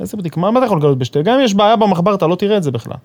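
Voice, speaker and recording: Over noticeable background noise, a man talks very fast with lively intonation. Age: 30s. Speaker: construction supervisor. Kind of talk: casual interview. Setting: studio.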